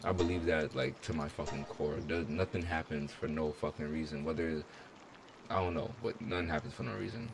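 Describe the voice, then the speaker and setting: A man with a very deep, low voice talks fairly quickly while noticeable noise carries on behind him. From outside the US. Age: 20s. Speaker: gaming YouTuber. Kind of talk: let's play commentary with chat. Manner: animated. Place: home room.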